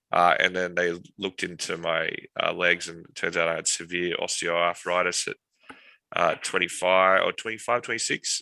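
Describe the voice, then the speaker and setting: The pace is moderate. This male speaker has an Australian accent. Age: 30s. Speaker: military veteran and tech company founder. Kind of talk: interview testimony.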